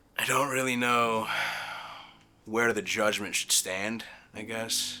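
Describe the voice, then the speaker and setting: Noticeable background noise fills the recording. The speaker goes very slowly. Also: man, medium pitch for a man, fairly even intonation. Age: 20s. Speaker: tattoo artist and musician. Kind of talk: introspective interview answer. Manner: halting; reflective.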